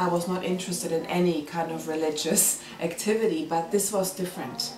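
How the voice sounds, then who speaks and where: A woman with a non-native accent speaks at a moderate pace in a fairly low pitch. Noticeable background noise and audible room echo are present. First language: not English. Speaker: community volunteer, mother. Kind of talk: interview testimony.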